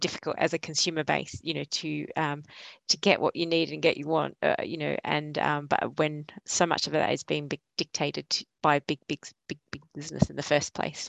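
A woman with an Australian accent at a moderate pace, in a dry, close sound with no echo. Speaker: sustainability consultant. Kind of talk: panel discussion. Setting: video call.

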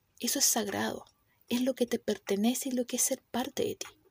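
A woman with a high pitch and ordinary pitch variation speaks at a fairly quick pace, in a dry, close sound with no echo. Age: 30s. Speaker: clinical psychologist and podcast host. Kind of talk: solo podcast talk.

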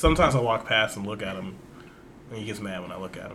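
This man's voice is fairly low with ordinary pitch variation. He talks at a very fast pace. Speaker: podcast host. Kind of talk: casual comedic chat. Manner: animated, jokey.

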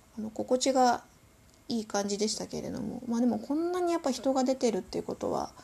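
Speaking at a very fast pace, a woman has a high voice with a dark, mellow tone. Her pitch variation is ordinary. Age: 50s. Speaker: podcast host. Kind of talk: solo podcast monologue. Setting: home. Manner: polite, many filler words.

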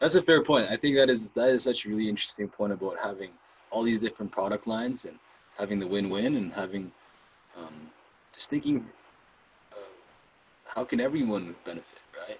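Speaking at a fairly quick pace, a man takes long, frequent pauses. His loudness swings widely while his pitch varies in an ordinary way. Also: medium pitch for a man. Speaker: podcast host. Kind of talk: interview. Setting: live video stream. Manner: energetic.

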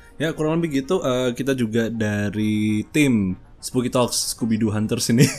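A man talks with hardly any pauses and ordinary pitch variation while music plays in the background. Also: medium pitch for a man, moderate pace. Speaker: podcast host. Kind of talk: casual chat.

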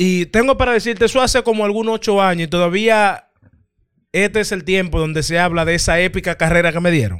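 An animated man with a high voice and a fairly quick pace. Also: ordinary pitch variation. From Dominican Republic, San Pedro de Macorís. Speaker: podcast host. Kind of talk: casual chat.

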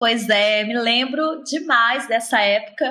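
The voice has a Minas Gerais accent and a bright, sharp tone. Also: woman. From Brazil, Minas Gerais. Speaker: podcast host. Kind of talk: interview.

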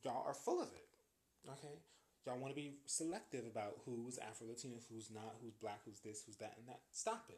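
With an American accent, a man talks at a fairly quick pace in a somewhat breathy, medium-pitched voice, his tone animated and his loudness swinging widely. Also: ordinary pitch variation. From US with Jamaican family, some years in Jamaica. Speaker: podcast host. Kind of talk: solo commentary monologue.

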